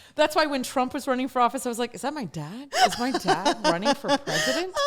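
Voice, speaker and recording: An animated woman talks very fast with an American accent, her high voice making very wide pitch swings. Noticeable background noise sits behind her. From Texas. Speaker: talk show host. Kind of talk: casual chat.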